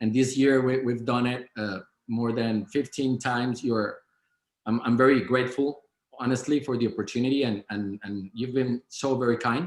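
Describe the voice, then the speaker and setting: A man with a Spanish accent speaks at a moderate pace. His medium-pitched voice keeps a fairly even intonation. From Colombia. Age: 30s. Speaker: business owner. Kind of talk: interview. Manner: halting, many repetitions.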